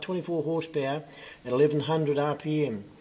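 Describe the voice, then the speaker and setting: The man talks at a very fast pace. His intonation stays fairly even. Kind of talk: reading a sign aloud, casual chat. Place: hall. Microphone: phone near.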